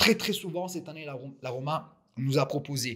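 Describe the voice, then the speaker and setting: Somewhat breathy, a man with a fairly high pitch speaks at a fairly slow pace with fairly even intonation. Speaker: football fan commentator. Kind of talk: solo audio commentary. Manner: halting, many repeated words and fillers.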